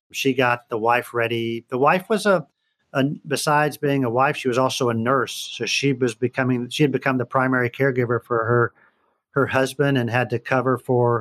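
Here a man with an unremarkable speaking voice talks at medium pitch and a fairly quick pace with fairly even intonation. The sound is dry and close with no echo, over a quiet background. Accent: American. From Northern Virginia and Houston, Texas. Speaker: trial lawyer. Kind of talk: interview.

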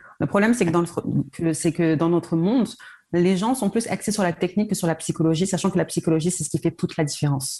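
A woman's fairly low, somewhat breathy voice, dark and mellow in tone, at a fairly quick pace with very even loudness. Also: ordinary pitch variation. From France, Paris region. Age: 30s. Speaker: sales coach. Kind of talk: interview.

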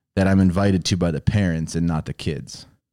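With an American accent and a very deep, low pitch, a man speaks at a moderate pace with fairly even intonation in a very clean, dry, close recording with no echo and a silent background. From Chicago, Illinois. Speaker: pastor's son telling his faith story. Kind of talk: testimony.

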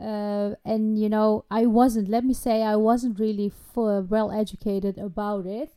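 A dark, mellow tone in a monotone, flat delivery with hardly any pauses. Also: woman, fairly high pitch for a woman. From Netherlands. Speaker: podcast host interviewer. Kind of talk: casual interview.

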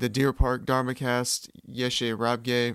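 On a very clean recording with a silent background, a man with an American accent speaks fairly slowly in a medium pitch with monotone, flat intonation. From California, US. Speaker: podcast host. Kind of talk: solo podcast monologue. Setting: alone in a room. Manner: slightly awkward, with pauses and ums.

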